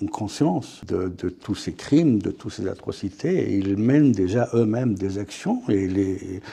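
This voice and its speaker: A man speaks with a dark, mellow tone. His pace is very slow. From France. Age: 60s. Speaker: author. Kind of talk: interview. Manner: hesitant, repeats words.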